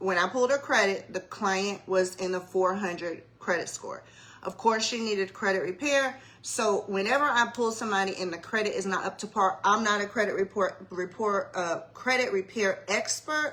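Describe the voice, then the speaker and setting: A woman's medium-pitched voice with an American accent, over noticeable background noise. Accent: Savannah Geechee-tinged Southern. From US South, Savannah, Georgia. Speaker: mortgage loan officer. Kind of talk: casual livestream explainer. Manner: conversational, casual.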